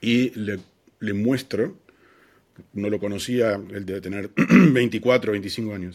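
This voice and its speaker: Speaking very slowly, a man keeps his intonation fairly even. His pitch sits fairly low. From Argentina, Buenos Aires. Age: 40s. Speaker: advertising creative. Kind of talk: interview. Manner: hesitant with fillers and repetitions.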